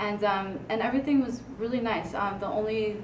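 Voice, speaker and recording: Amid noticeable background noise and audible room echo, a woman speaks at a moderate pace with fairly even intonation. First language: Spanish. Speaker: student writing consultant. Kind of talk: presentation. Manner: halting, many fillers.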